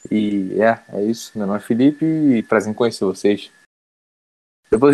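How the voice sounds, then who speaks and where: A man talks at a fairly low pitch and moderate pace, with ordinary pitch variation. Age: 20s. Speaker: podcast co-host. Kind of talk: casual chat.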